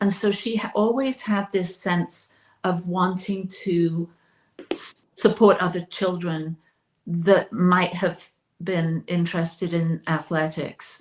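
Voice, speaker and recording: Very slowly, a woman speaks with a fairly low pitch, fairly even intonation and a somewhat breathy sound. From southern England (Oxfordshire). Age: 60s. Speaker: talk show host, interviewed on her birthday. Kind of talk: interview, personal life story. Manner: reflective, with hesitations.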